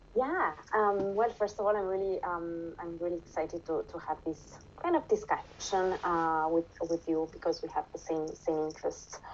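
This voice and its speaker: Speaking at a moderate pace, a woman talks in a Romanian accent. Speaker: interviewee sharing nutrition experience. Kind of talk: casual interview. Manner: halting, many fillers.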